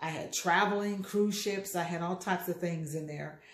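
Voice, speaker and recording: A woman's fairly low voice at a moderate pace, with fairly even intonation and audible room echo. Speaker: motivational speaker. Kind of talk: casual vlog chat. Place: kitchen. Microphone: phone near.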